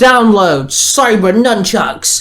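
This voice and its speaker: High-pitched put-on character voice from a man. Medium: read story. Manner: gruff, growling.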